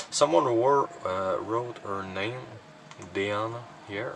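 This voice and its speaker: Over noticeable background noise, the voice comes through in a Quebec accent. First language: French. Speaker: cassette collector YouTuber. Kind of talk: casual collection showcase. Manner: halting, many fillers.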